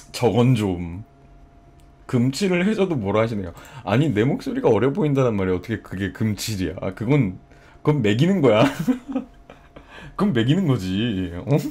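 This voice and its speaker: A man's medium-pitched voice with a dark, mellow tone, very wide pitch swings, a moderate pace and long, frequent pauses. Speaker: livestreamer. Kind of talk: casual chat. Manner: animated.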